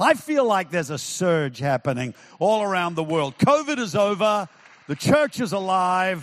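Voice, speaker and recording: A man talks at a moderate pace in an animated tone. His intonation is lively. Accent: New Zealand. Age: 70s. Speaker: pastor. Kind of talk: sermon. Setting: church with live audience.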